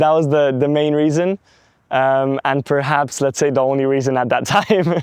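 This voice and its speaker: At a moderate pace, a man speaks with fairly even intonation and very even loudness. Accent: London. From London, England. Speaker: entrepreneur. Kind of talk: interview. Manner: hesitant with fillers.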